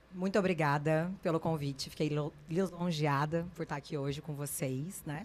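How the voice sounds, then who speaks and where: With an interior São Paulo accent, a woman speaks at a moderate pace in a very deep, low pitch with fairly even intonation. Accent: interior São Paulo accent, noticeable. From interior of São Paulo state, Brazil (Guaratinguetá). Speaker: dermatologist. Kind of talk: podcast interview.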